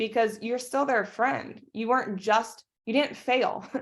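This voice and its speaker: A woman speaks at a moderate pace in a fairly high, animated voice on a very clean recording with a silent background. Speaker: network marketing team leader. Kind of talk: team training talk.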